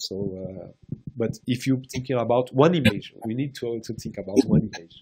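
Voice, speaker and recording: A man with a Portuguese accent, medium-pitched and somewhat breathy, at a moderate pace with ordinary pitch variation. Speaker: round table panelist. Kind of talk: panel discussion. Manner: halting, with many repetitions.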